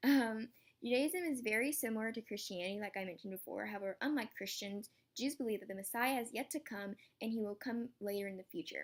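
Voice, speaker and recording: A woman with a fairly high pitch speaks very fast, her pitch varying in an ordinary way. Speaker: student. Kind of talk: class presentation. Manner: halting.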